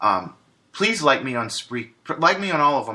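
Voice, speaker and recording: A man at a fairly quick pace, medium in pitch, with a bright, sharp tone over a quiet background. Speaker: podcast host. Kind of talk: solo podcast monologue. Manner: many filler words.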